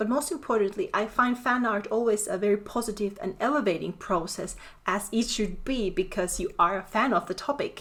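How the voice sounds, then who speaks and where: A woman with a Finnish accent speaks at a fairly quick pace with hardly any pauses. Her pitch is fairly high, with ordinary pitch variation. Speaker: artist and prop maker. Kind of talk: educational talk. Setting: home office. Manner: freeform, unscripted.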